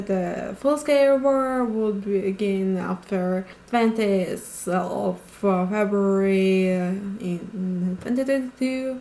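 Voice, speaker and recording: A woman speaks very slowly in a medium voice with a Ukrainian accent. Her pitch varies in an ordinary way over noticeable background noise. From Ukraine. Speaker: video essayist. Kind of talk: video explainer narration. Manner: halting with many fillers.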